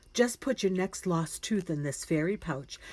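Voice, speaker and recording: Putting on a character voice, a woman speaks at medium pitch and a moderate pace. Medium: read story. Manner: soft, gentle.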